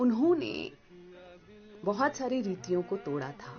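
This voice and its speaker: Music plays behind a woman whose voice sits fairly high. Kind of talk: tribute speech about a famous radio host, spoken to camera.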